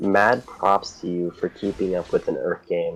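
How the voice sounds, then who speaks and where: A man speaks at a fairly low pitch. Music plays in the background. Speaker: co-caster. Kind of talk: live game commentary. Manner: casual, hesitant.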